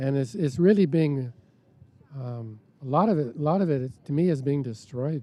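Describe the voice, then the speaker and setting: A man speaks at a moderate pace with a fairly high pitch. His tone is dark and mellow, with ordinary pitch variation. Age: 70s. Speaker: park activist. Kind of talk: casual walking tour interview. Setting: outdoors in a park. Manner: halting, many fillers and restarts.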